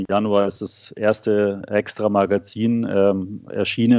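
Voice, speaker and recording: This man speaks at a fairly low pitch in a monotone, flat intonation. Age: 40s. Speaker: financial magazine publisher. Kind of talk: interview. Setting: remote call from home office. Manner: hesitant, many filler sounds.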